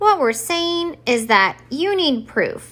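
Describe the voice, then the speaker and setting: Very slowly and in a put-on character voice, a woman speaks at a high pitch with very wide pitch swings. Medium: read story. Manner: deliberate, weighing both sides.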